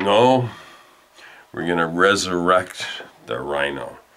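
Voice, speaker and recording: Amid noticeable background noise, a man talks very slowly in a very deep, low voice. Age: 60s. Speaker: YouTube commentator. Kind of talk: comedic rant monologue. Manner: animated; halting, with many fillers.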